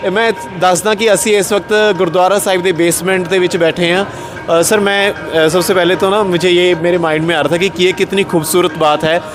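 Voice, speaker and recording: Over background music, a man with a high voice talks at a moderate pace in a flat, monotone way. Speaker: interviewer. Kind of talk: interview. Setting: gurdwara basement.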